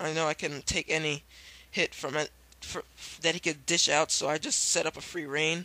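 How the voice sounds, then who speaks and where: At a moderate pace, a man with a fairly high, bright, sharp tone speaks in a flat monotone, with a dry, close sound and no echo. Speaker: gameplay commentator. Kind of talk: video game battle commentary. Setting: low-quality home microphone. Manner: casual, hesitant.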